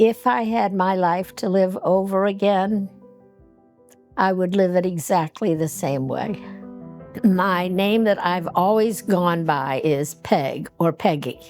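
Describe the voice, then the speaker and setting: Ordinary pitch variation at a very slow pace, with music in the background. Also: woman, medium pitch for a woman. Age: 80s+. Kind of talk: interview.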